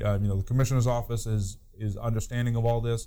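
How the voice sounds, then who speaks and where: Amid audible room echo, a man speaks very fast at a medium pitch, monotone and flat, with a dark, mellow tone. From New Hampshire. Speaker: fire chief. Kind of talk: casual chat.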